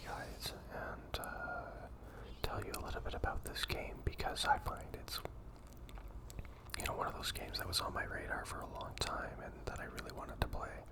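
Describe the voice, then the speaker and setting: Over noticeable background noise, someone whispers in a relaxed tone at a fairly quick pace. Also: man. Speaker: ASMR gaming content creator. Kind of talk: whispered gameplay voiceover ramble. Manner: whispered, soft-spoken, relaxed, rambling.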